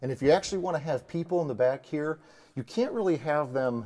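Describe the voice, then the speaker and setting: At a fairly quick pace, a man talks in a dark, mellow tone with ordinary pitch variation. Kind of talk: tutorial. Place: garage. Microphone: lapel.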